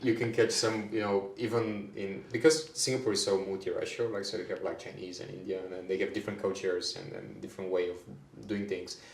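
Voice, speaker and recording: Someone talks at a very fast pace, with big swings in loudness. Noticeable background noise and audible room echo fill the recording. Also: man. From Bulgaria. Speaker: HR manager. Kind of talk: podcast interview. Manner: hesitant, many fillers and repeats.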